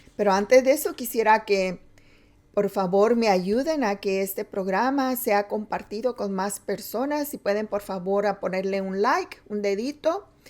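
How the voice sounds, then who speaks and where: Over noticeable background noise, a woman speaks at a fairly slow pace in a fairly high pitch with ordinary pitch variation. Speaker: preacher. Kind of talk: sermon. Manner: halting.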